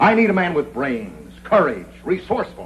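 Very wide pitch swings from a man at a moderate pace, over light background noise. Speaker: newspaper editor character. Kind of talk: scripted film dialogue. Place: office.

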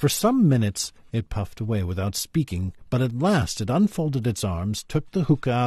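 The text is delivered in an unforced reading voice.

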